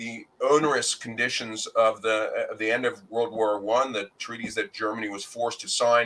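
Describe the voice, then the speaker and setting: A man at a moderate pace with hardly any pauses and big swings in loudness. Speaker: fiction writer, contest winner. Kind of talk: interview.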